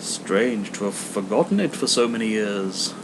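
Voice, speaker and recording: A soft-spoken man puts on a character voice at a fairly low pitch. Loud background noise runs underneath. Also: moderate pace. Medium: read story. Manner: calm, solemn, distant-sounding.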